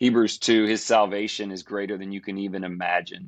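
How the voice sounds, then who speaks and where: A man with an unremarkable speaking voice talks at a fairly low pitch and a moderate pace against a quiet background. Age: 40s. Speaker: preacher. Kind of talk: casual chat.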